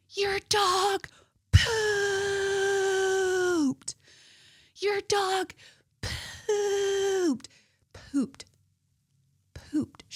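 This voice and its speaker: A female-sounding put-on character voice shouts at an extremely high pitch, shrill and squeaky. The pace is very slow, with long, frequent pauses. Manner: screaming at full volume, shrill.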